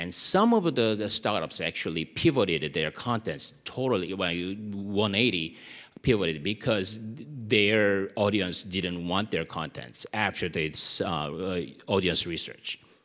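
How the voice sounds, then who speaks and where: Speaking fairly slowly in a Korean accent, a man has a bright, sharp tone, a fairly low pitch, and ordinary pitch variation. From South Korea. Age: 40s. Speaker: media content strategist. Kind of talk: conference presentation. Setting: stage with audience.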